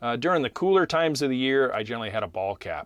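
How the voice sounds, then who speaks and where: In a very clean recording with a silent background and a dry, close sound with no echo, a man with an unremarkable speaking voice talks at a fairly high pitch with lively intonation. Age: 60s. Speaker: landscaping coach, podcast host. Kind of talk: casual podcast talk. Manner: relaxed, conversational with fillers.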